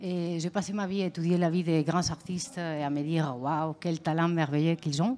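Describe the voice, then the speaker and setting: A woman with a Spanish accent speaks at a moderate pace with hardly any pauses, her fairly low pitch showing ordinary variation. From Spain. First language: Spanish (speaking French). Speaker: visual artist. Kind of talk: interview. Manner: hesitant.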